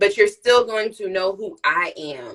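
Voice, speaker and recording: Her tone animated and her intonation lively, a woman speaks at a moderate pace with a fairly high pitch. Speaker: nurse practitioner and live-stream host. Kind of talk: casual chat.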